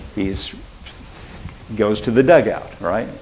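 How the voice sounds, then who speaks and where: A man speaks with an American accent. Noticeable background noise and audible room echo surround him. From Oklahoma. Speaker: pastor. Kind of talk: sermon. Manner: quiet, self-described; conversational, halting with fillers.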